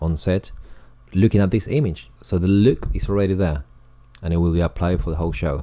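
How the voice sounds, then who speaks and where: A man talks at a fairly quick pace in a very deep, low pitch. His tone is dark and mellow, with ordinary pitch variation. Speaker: colorist and video tutorial creator. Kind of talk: tutorial. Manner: dry, sarcastic-sounding delivery; hesitant, many fillers and repetitions.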